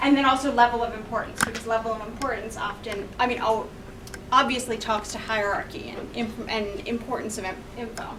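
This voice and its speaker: The voice moves at a fairly quick pace with fairly even intonation and big swings in loudness. Audible room echo and noticeable background noise surround it. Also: woman, fairly high pitch for a woman. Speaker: graphic designer and conference speaker. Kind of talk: presentation talk. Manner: fast.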